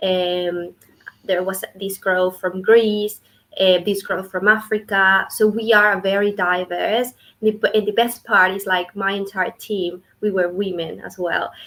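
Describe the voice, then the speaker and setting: A woman with a Spanish accent speaks fairly slowly at a medium pitch in a monotone, flat intonation. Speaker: clinical research associate. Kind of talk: interview.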